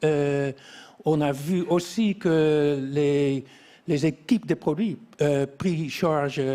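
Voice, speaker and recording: A man speaks at a very slow pace with a non-native accent. His pitch is fairly high, with ordinary pitch variation. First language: not French (speaking French). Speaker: quality engineering expert. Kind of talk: interview. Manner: halting, many hesitations.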